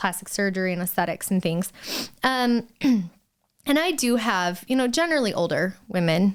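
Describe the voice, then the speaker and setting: A woman with a medium pitch speaks in an animated tone, with lively intonation, at a moderate pace. Her loudness stays very even, and the recording is very clean, with a silent background. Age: 30s. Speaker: permanent cosmetics artist, surgery patient. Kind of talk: casual interview chat.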